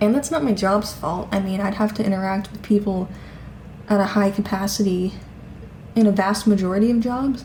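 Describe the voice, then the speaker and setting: Amid noticeable background noise, a woman speaks at a fairly quick pace with fairly even intonation and long, frequent pauses. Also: medium pitch for a woman. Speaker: vlogger. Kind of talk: casual vlog monologue. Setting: at home.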